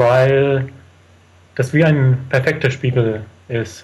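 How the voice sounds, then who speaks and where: A man speaks very slowly in a somewhat breathy voice. His medium pitch stays fairly even. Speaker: traveller. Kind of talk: interview.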